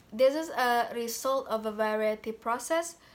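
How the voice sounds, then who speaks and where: A woman speaks at a very slow pace with a fairly high pitch and ordinary pitch variation. The recording is very clean, with a silent background. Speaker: university student. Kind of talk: class presentation. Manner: halting, many fillers.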